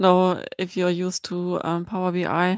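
A woman speaks very slowly with a German accent. Her pitch is fairly low, and her intonation is flat and monotone. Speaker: blogger and BI consultant. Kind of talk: casual chat.

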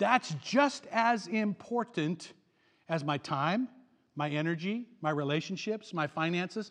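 Speaking at a fairly slow pace, a man with a high pitch sounds animated, his intonation lively. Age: 60s. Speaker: pastor. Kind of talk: sermon.

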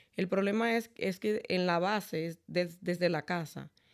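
A woman speaks in an ordinary speaking voice with ordinary pitch variation on a very clean recording with a silent background. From Dominican Republic. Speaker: credit repair specialist. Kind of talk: interview.

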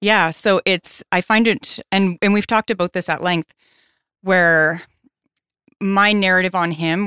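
A fairly slow voice with a Newfoundland accent and ordinary pitch variation, in a dry, close, echo-free, very clean recording with a silent background. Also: woman. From Newfoundland, Canada. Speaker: guest sharing recovery story. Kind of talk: casual interview. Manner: soft-spoken.

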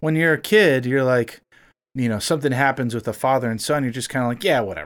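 A man with an American accent talks at a very fast pace, with lively intonation around a medium pitch. The recording is very clean, with a silent background. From South Florida, Miami. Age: 30s. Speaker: music producer and musician. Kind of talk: casual chat.

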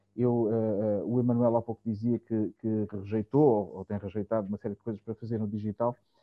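A man's fairly low voice, monotone and flat, at a fairly quick pace. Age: 40s. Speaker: music industry producer. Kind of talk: casual panel discussion.

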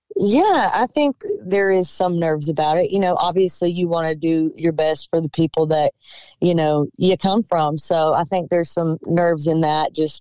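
A woman with a Southern US accent, fairly low in pitch, at a moderate pace and with fairly even intonation, the sound dry and close with no echo. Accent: Southern US (Georgia). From Georgia, US South (Cochran). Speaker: singer-songwriter. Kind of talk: radio interview.

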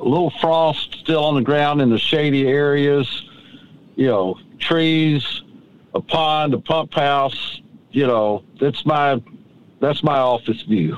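A man's fairly high voice in a Southern US accent, at a very slow pace with long, frequent pauses. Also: ordinary pitch variation. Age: 60s. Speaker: tree farmer and author. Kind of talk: casual interview. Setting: in a truck on a tree farm.

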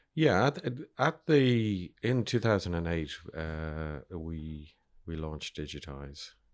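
Speaking with an Irish accent at a very slow pace, a man uses a very deep, low pitch and lively intonation. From Ireland. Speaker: media entrepreneur. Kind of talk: interview.

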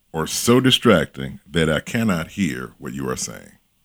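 A man speaks at a fairly slow pace with very wide pitch swings. Vocal fry runs through his voice. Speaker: workplace image coach. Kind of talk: casual interview conversation.

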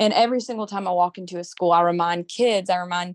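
Heard in a dry, close sound with no echo, a woman with a Southern US accent talks fairly quickly with fairly even intonation. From Mississippi. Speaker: beauty pageant titleholder. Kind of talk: interview.

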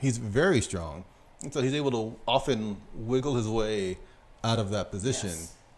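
A man speaks with lively intonation in an ordinary speaking voice at a medium pitch. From United States. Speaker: sumo podcast co-host. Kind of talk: casual chat.

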